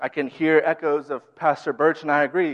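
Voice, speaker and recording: A man with an American accent has an unremarkable speaking voice and a fairly high pitch. He talks at a moderate pace with ordinary pitch variation. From US Midwest, Minnesota. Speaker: youth director preaching. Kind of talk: sermon. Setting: church.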